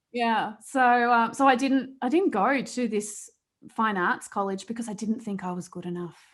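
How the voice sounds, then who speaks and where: In an Australian accent, a woman speaks at a moderate pace with a fairly high pitch and ordinary pitch variation, on a very clean recording with a silent background. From Australia, rural New South Wales. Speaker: accident survivor and coach. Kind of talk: interview testimony.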